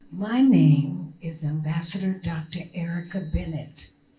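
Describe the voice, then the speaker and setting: A woman speaks at a fairly slow pace in a fairly low pitch. There is noticeable background noise and audible room echo. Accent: American. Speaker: diplomat. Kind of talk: press conference speech. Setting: press conference at a consulate. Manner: animated.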